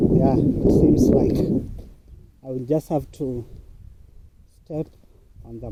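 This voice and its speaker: Speaking with a Kenyan accent, a man at a medium pitch moves at a fairly slow pace with ordinary pitch variation. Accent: Kenyan (Luo) English. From Kenya, Luo-speaking region (Kisumu County). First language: Luo. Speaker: vlogger, online worker. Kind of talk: casual vlog narration while walking. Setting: outdoors, walking to a muddy farm.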